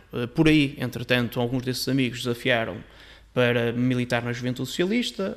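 A man with an unremarkable speaking voice talks at a fairly quick pace and medium pitch, with fairly even intonation. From northern Portugal. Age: 30s. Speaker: member of parliament. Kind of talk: casual chat.

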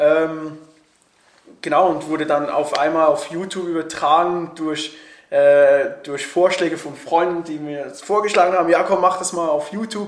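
In a room with audible echo, a fairly high-pitched man speaks at a moderate pace with fairly even intonation and big swings in loudness. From Switzerland. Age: 20s. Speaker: YouTuber and actor. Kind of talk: casual interview. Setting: recording together in Berlin.

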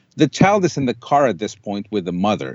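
In a Spanish accent, a man speaks at a medium pitch and a fairly quick pace with lively intonation. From Colombia. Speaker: dog shelter owner. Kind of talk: interview testimony.

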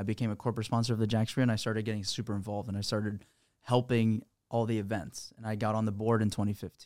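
Speaking in a Florida accent, a man talks at a very fast pace with a fairly low pitch and monotone, flat intonation. The recording is very clean, with a silent background. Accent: American, Florida. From Florida (Sarasota area), born in Peru. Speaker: real estate investor, company president. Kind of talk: casual interview. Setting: studio.

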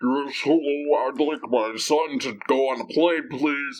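Using a put-on character voice, a man speaks fairly slowly at a fairly high pitch.

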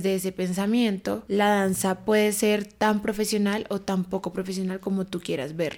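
A woman speaks in a plain, everyday voice at a medium pitch. Her pace is fairly slow and her intonation fairly even. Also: very clean recording, silent background. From Colombia, Bogotá. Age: 20s. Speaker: dancer. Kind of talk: casual chat.

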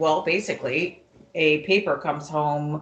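Fairly slow speech from a woman with a very deep, low pitch. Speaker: mother of the hosts. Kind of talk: casual chat. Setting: home, family gathering.

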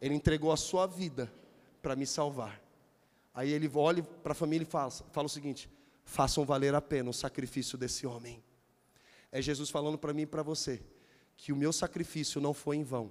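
The man speaks at a fairly quick pace with a fairly high pitch. Long pauses come often. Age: 40s. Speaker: pastor. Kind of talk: sermon. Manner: animated.

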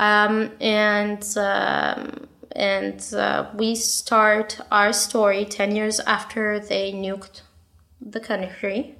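With a non-native accent, a woman speaks very slowly at a medium pitch in a monotone, flat intonation. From Israel. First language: not English. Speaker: aspiring novelist. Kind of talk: casual chat. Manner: halting, many fillers and repetitions.

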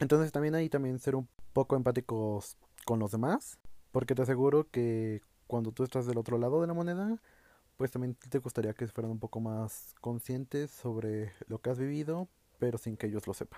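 This voice has a dark, mellow tone and a Mexican accent. It moves at a moderate pace with ordinary pitch variation. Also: man, medium pitch for a man. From Mexico. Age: 20s. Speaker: podcast host. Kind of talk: solo monologue podcast. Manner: casual, conversational.

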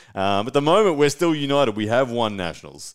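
A man with an Australian accent talks at a fairly quick pace with ordinary pitch variation, on a very clean recording with a silent background. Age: 30s. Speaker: arm wrestler and podcast host. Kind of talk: live-stream solo talk. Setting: home studio live stream. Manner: casual, animated.

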